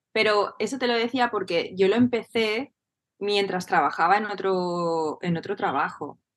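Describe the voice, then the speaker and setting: An ordinary speaking voice with ordinary pitch variation. The pace is fairly slow. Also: woman, medium pitch for a woman. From Spain, Barcelona. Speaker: entrepreneur and business coach. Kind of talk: casual interview chat.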